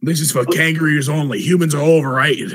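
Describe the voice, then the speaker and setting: A man puts on a gruff character voice, fairly high in pitch, and rattles along at a very fast pace. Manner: dismissive, deadpan joke.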